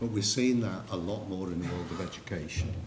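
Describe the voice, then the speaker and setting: The speaker has an English accent and a fairly quick pace. Audible room echo and noticeable background noise come through. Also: man. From England. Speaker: psychometrics consultant. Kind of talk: conference presentation.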